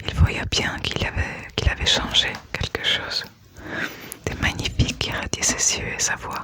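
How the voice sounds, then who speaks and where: The voice is a whisper, at a fairly slow pace. Noticeable background noise is present. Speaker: ASMR creator. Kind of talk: ASMR book reading. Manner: whispered.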